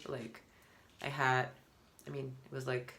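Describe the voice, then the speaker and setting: There is a non-native accent in this voice, heard against noticeable background noise. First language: not English. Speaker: vlogger. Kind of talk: casual monologue. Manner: halting.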